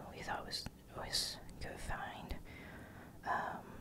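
A woman is speaking. She whispers. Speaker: ASMR creator. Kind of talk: ASMR whispered show-and-tell. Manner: whispered, soft-spoken. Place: home room.

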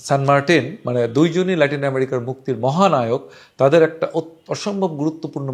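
A man speaks in an unremarkable speaking voice, pitched fairly high. His pitch varies in an ordinary way over a quiet background. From Bangladesh. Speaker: travel storyteller. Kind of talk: travel storytelling monologue. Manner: casual, conversational.

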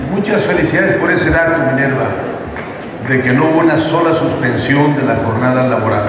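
Strong room echo and noticeable background noise surround a man speaking with ordinary pitch variation. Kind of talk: public speech. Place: hall. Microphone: podium.

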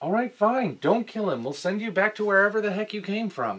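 A man does a put-on character voice with a high pitch, a fairly bright tone and a slightly husky edge. He moves at a fairly quick pace with big pitch swings.

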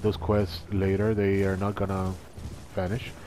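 A man speaks with a non-native accent. Music plays in the background. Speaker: gamer. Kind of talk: game tutorial commentary. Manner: casual, hesitant.

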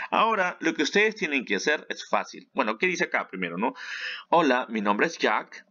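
Against a quiet background, a man's bright, sharp tone with vocal fry swings very widely in pitch. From Peru. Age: 30s. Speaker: English teacher. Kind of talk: tutorial. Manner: animated.

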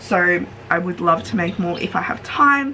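With music in the background, a woman talks at a fairly slow pace. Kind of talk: casual vlog chat. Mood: cheerful and relaxed. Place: home room. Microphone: phone near.

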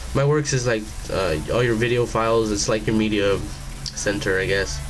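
A man's fairly low voice at a fairly slow pace, over noticeable background noise. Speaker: product reviewer. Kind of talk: casual product review. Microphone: webcam.

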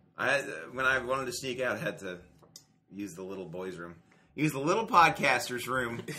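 Over noticeable background noise, a man at medium pitch talks fairly quickly, with long, frequent pauses, very wide pitch swings and big swings in loudness. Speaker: podcast co-host. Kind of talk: casual chat.

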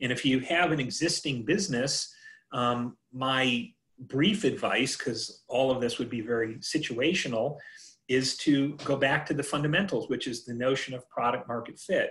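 A man with an American accent, medium pitch, ordinary pitch variation and a moderate pace, over a quiet background. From US Midwest. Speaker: entrepreneur and author; presenter. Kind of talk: workshop presentation. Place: home room. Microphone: video call.

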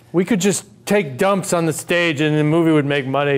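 The pace is moderate. A man's pitch moves in an ordinary way. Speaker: actor in a scene. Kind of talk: scripted dramatic dialogue. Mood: frustrated, pressing questions. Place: stage.

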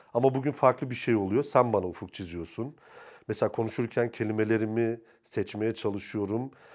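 A man speaks at a moderate pace over a quiet background in a plain, everyday voice, his medium pitch and fairly even intonation. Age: 40s. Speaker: film and TV director. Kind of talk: interview.

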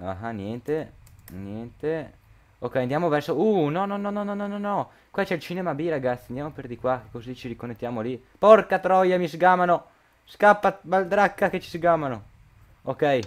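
A man's voice swings very widely in pitch and in big leaps of loudness, sitting fairly high overall. The recording is very clean with a silent background. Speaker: gaming youtuber. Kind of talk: let's play commentary. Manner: hurried; halting.

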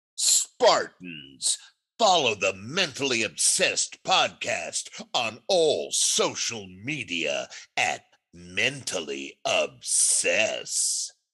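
A man speaks at a very slow pace in a raspy, put-on character voice over a quiet background. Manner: full of attitude.

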